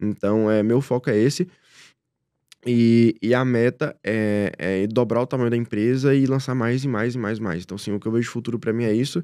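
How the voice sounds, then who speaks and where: Against a quiet background, a man with a dark, mellow tone speaks at a fairly quick pace with ordinary pitch variation, the sound dry with no echo. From Brazil, interior of Minas Gerais (Rio Pardo); Minas Gerais, Brazil. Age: 20s. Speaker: direct response entrepreneur; podcast guest. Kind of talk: interview. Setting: studio. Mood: calm, reflective. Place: studio. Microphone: studio mic.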